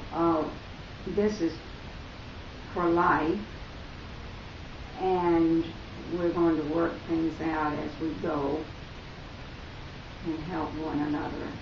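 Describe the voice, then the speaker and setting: Amid noticeable background noise and audible room echo, a woman with an American accent speaks very slowly in a fairly low, monotone, flat voice with long, frequent pauses. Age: 80s+. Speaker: interviewee, grandmother. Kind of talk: interview.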